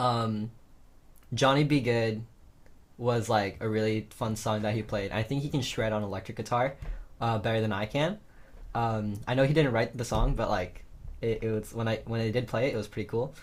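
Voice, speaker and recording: A man with an American accent speaks at a medium pitch, somewhat breathily. His intonation stays fairly even, broken by long, frequent pauses. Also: moderate pace. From Los Angeles, US. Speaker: musician. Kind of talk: casual interview. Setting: video call. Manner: casual with many fillers.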